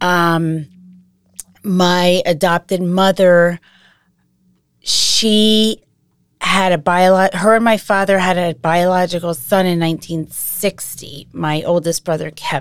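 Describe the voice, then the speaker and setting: A woman speaks very slowly in an American accent. Her pitch sits fairly low. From Massachusetts, US. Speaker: adoptee sharing her story. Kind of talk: personal testimony interview.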